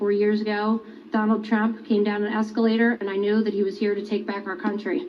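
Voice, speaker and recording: A woman is speaking. She goes at a very fast pace. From US, Pennsylvania, Delaware County. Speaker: election poll watcher. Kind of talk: testimony. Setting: legislative hearing. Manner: formal.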